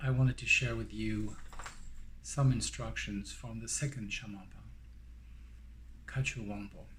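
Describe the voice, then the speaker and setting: A man with a strong French accent speaks at a fairly slow pace, with long, frequent pauses and big swings in loudness, in audible room echo. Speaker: Buddhist dharma teacher. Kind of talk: guided meditation; dharma teaching. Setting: recorded online teaching. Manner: hesitant, many fillers.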